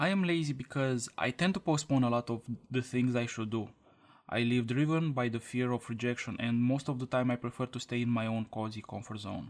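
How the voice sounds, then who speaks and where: Speaking at a fairly quick pace with a Romanian accent, a man uses a medium pitch and ordinary pitch variation. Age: 20s. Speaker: podcaster. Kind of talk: scripted monologue.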